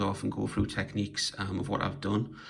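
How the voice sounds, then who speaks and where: A man speaks with a British accent. His voice sits fairly low and carries vocal fry. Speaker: toy collector and diorama maker. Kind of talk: casual show-and-tell video. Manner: hesitant, many fillers.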